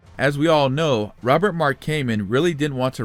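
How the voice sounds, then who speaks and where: A man speaking at a fairly quick pace, with music in the background. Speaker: YouTube commentator, TV series analyst. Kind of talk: video commentary / analysis. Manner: fast.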